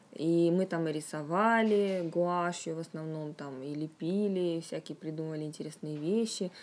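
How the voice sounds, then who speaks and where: A woman's ordinary speaking voice, fairly low in pitch, with big swings in loudness, fairly even intonation, a moderate pace and hardly any pauses, on a very clean recording with a silent background. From Russia, Yaroslavl. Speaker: fantasy writer. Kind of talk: interview. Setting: studio.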